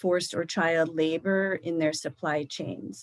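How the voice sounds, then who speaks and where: Fairly low in pitch, a woman uses an unremarkable speaking voice. Her intonation is fairly even. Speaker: government official, trafficking expert. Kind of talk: Q&A after a lecture. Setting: live stream presentation.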